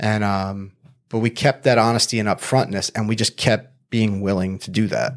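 With a normal speaking voice, this man keeps a fairly low pitch, fairly even intonation and a moderate pace. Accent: American. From Long Island, New York. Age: 40s. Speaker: life coach and former MMA fighter. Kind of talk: casual interview.

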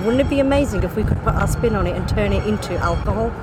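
In an English Midlands accent, the speaker talks at a very fast pace over noticeable background noise. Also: woman. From English Midlands, first-generation British Indian. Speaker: gin company co-founder. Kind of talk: casual interview chat. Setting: outdoors in a yard, sunny and windy. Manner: laughs often.

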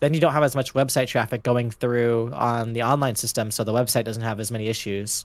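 Speaking at a fairly quick pace with hardly any pauses, a man with an American accent and a plain, everyday voice keeps a medium pitch and fairly even intonation. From Los Angeles, California. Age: 20s. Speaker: podcast guest, roller coaster enthusiast. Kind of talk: casual chat.

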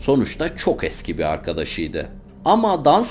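Very wide pitch swings mark this man's speech. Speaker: true-crime narrator. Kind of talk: true-crime storytelling narration.

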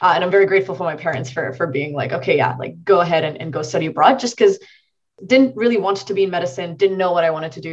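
A woman's fairly low voice comes across somewhat breathy. Her intonation is lively. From India. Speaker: machine learning engineer. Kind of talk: interview.

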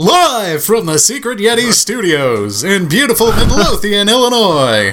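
Putting on a character voice, a man speaks at a high pitch and moderate pace with very wide pitch swings. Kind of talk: formal, booming announcer delivery.

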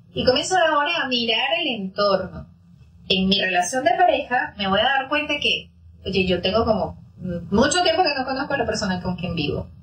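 Over noticeable background noise, a woman with a fairly high pitch speaks with very wide pitch swings. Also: moderate pace. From Venezuela. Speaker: psychologist. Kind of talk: interview, explanatory.

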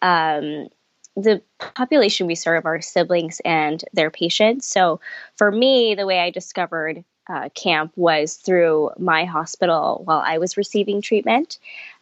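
A woman with an American accent talks at a fairly slow pace. Her pitch is fairly low, with ordinary variation. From Los Angeles, California. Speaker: camp outreach coordinator. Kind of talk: interview.

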